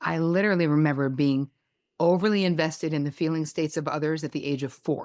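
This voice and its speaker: A woman's very deep, low voice carries an animated tone on a very clean recording with a silent background. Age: 60s. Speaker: therapist and author. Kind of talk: podcast interview.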